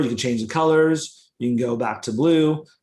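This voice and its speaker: Ordinary pitch variation marks this voice. The speaker is a man. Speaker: software founder presenting. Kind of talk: webinar software demo. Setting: live webinar screen share. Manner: fast.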